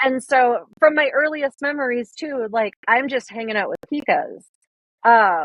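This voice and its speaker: This woman speaks with a Minnesotan accent. Her delivery is fairly slow, with lively intonation. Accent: Minnesota. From US Upper Midwest, northern Minnesota. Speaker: wildlife photographer. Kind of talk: podcast interview. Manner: casual, many fillers.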